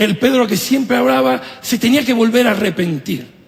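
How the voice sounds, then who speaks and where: A man talks at a high pitch while noticeable background noise carries on behind him. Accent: Argentine. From Venezuela, Italy and Argentina. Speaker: pastor. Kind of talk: sermon.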